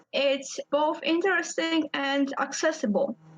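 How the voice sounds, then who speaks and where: A woman talks at a very slow pace with a Polish accent. Her pitch is high, with ordinary variation. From Poland. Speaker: indie game designer. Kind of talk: interview.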